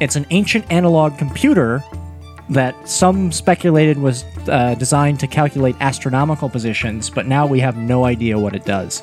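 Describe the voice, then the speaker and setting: Fairly quick pace and lively intonation, with music in the background. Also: man, medium pitch for a man. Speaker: podcast co-host.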